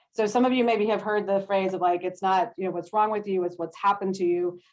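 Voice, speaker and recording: A woman with a medium-pitched voice talks at a very fast pace. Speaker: social worker, trauma-informed care program leader. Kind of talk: panel presentation. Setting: video call.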